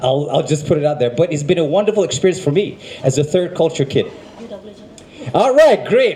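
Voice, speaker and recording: Against noticeable background noise, a man with an American accent talks fairly quickly with lively intonation. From United States. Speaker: event emcee. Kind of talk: live event emceeing. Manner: casual.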